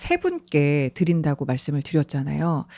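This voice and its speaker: Recorded very cleanly against a silent background, a woman's voice comes through with a dry, close sound and no echo. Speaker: radio announcer and host. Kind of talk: live radio talk show. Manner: lively, bubbly.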